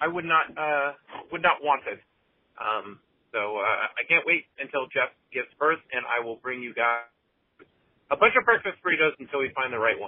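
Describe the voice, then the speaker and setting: This man's voice sits fairly high in pitch. He keeps a moderate pace but leaves long, frequent pauses. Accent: American. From US, Southern California (Los Angeles). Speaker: voicemail caller, fellow podcaster. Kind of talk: voicemail message. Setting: phone voicemail. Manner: halting, with many fillers.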